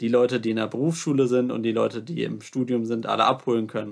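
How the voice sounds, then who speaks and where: A man with an unremarkable speaking voice, medium pitch and fairly quick pace, on a very clean recording with a silent background. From Lower Saxony, Hannover region. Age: 20s. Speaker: student. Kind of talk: interview.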